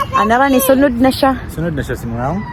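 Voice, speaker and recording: A woman speaks fairly quickly in a high voice, her pitch shifting in an ordinary way while noticeable background noise plays behind her. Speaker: family vlogger. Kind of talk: casual vlog narration. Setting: outdoors in a park.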